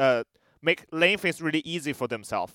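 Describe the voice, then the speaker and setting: A man with a fairly high pitch and ordinary pitch variation is heard in a dry, close recording with no echo. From China. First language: Chinese. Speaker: esports caster. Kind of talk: casual interview. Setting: remote from an arena. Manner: halting, non-native English.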